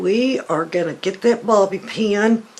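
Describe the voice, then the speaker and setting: A woman speaks with a Southern US accent. Her pace is very slow. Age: 60s. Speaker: beauty vlogger. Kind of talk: tutorial. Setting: home. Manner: casual.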